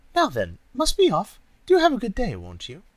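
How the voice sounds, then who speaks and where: Doing a put-on character voice, a man pushes his pitch extremely high. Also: moderate pace. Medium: read story. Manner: crooning, posh.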